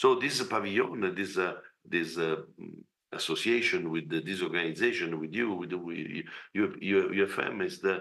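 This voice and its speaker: With audible room echo, a man with a very deep, low voice talks at a moderate pace and fairly even intonation. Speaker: representative of an agriculture organization. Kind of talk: conference speech. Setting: video call. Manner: halting.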